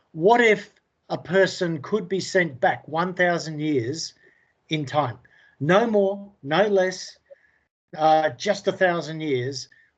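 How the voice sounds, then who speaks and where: The speaker has an Australian accent and talks at a very slow pace with long, frequent pauses and ordinary pitch variation. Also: man, high pitch for a man. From England. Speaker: indie author. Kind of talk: interview. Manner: halting, many fillers.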